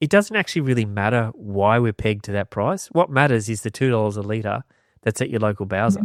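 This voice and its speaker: In a very clean recording with a silent background and a dry, close sound with no echo, a man with an Australian accent speaks at a very fast pace in a fairly low voice with ordinary pitch variation. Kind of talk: casual interview conversation.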